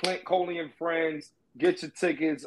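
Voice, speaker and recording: Pitched fairly high, a man speaks in a plain, everyday voice. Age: 30s. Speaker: comedian. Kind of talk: casual chat.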